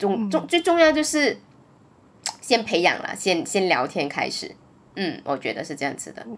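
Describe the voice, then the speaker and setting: A woman speaks at medium pitch and a moderate pace. Her pitch swings very widely, and she leaves long, frequent pauses. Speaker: podcast host. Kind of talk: casual chat. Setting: at home in isolation.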